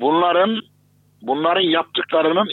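A man talks at a moderate pace in an ordinary speaking voice with fairly even intonation. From Turkey, Kayseri. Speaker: Islamic theologian. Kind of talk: interview.

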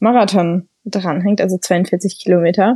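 A woman's dark, mellow tone unfolds at a very slow pace. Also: dry, close sound with no echo. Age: 20s. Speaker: university student and triathlete. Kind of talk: interview.

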